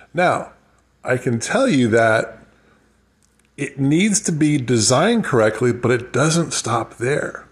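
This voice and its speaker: At a very slow pace with long, frequent pauses, the somewhat breathy voice carries lively intonation. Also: man, medium pitch for a man. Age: 50s. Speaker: financial advisor. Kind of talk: casual solo podcast monologue. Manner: rambling, conversational.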